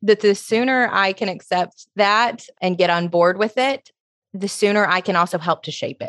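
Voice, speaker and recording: With an American accent and a plain, everyday voice, a woman speaks at a medium pitch with ordinary pitch variation and big swings in loudness, in a dry, close sound with no echo. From US South, Alabama (Tuscaloosa). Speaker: social media creator and coach. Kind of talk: interview.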